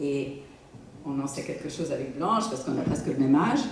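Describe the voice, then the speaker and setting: Over noticeable background noise and audible room echo, a woman speaks in a very deep, low pitch. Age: 70s. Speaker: actress. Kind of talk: onstage interview chat.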